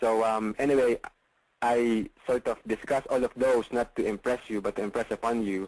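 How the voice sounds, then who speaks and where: A man talks at a moderate pace in a medium pitch with monotone, flat intonation, the sound dry and close with no echo. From Philippines. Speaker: real estate investor and coach. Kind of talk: webinar sales pitch. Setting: online webinar call. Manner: hesitant, many fillers.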